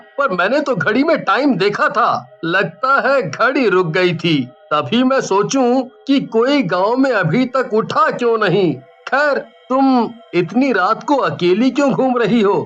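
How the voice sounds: A cartoonish character voice with a fairly high pitch speaks at a fairly slow pace with hardly any pauses. Faint music plays in the background.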